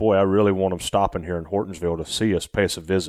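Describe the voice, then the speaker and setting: A very clean recording with a silent background, dry and close with no echo, in a Southern US accent. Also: man. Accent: Southern US drawl. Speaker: rice farmer and former racing engineer. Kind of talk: casual interview conversation.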